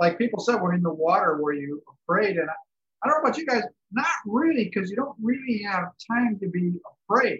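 Talking at a very fast pace, a man with a high pitch speaks with an American accent. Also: lively intonation. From Chicago. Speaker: retired businessman, canoe trip participant. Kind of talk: casual storytelling. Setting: video call.

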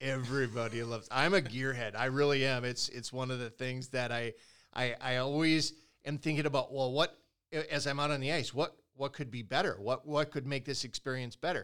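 An unremarkable speaking voice from a man with a medium pitch, fairly even intonation and fairly quick pace, on a very clean recording with a silent background. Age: 50s. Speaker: ice fishing podcast host. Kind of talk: casual podcast chat. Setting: company headquarters recording.

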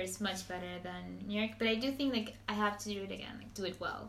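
A woman at medium pitch talks at a fairly quick pace in a Spanish accent. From Venezuela, Maracaibo. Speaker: podcast host. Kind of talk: casual chat. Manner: animated.

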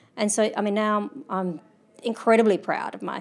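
A woman speaks in an Australian accent. The recording is very clean, with a silent background. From South Australia. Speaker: mountaineer. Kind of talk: interview. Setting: hotel.

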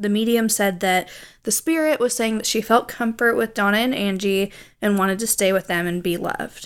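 Her voice is an ordinary speaking voice, a woman's, fairly high in pitch, with ordinary pitch variation and a moderate pace. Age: 20s. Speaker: podcast co-host. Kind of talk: storytelling; casual chat.

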